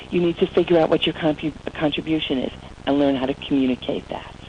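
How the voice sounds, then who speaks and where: There is noticeable background noise behind this woman speaking. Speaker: motivational speaker. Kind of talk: webinar presentation. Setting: online webinar. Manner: animated.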